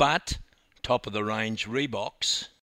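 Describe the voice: Plain reading aloud. Nothing more is heard.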